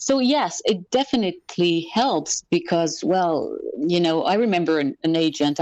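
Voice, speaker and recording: The speaker has a slight French accent and lively intonation. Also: woman. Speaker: actress. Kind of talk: interview. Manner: halting.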